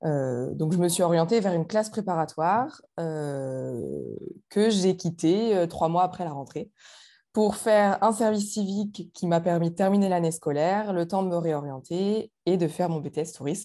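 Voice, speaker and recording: A woman speaks in a plain, everyday voice at a fairly slow pace, with a fairly low pitch and ordinary pitch variation. The recording is very clean, with a silent background. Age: 20s. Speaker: former student. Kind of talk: interview.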